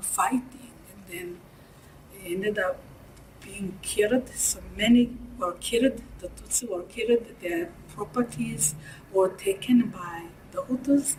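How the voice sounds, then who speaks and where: Speaking in a Rwandan accent, a woman talks at a fairly slow pace with long, frequent pauses. Her medium-pitched voice has lively intonation and big swings in loudness. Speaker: genocide survivor, former student. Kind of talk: interview answer.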